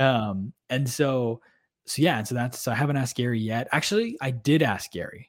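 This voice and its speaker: A man talks at a moderate pace with a medium pitch. His pitch varies in an ordinary way. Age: 20s. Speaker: podcast host. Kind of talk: casual chat. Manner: animated.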